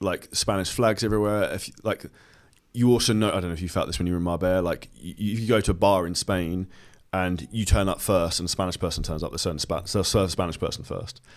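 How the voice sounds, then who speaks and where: A man with a British accent, very deep and low in pitch, talking very fast with fairly even intonation. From southern England. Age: 30s. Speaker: entrepreneur and fitness coach. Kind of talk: podcast interview.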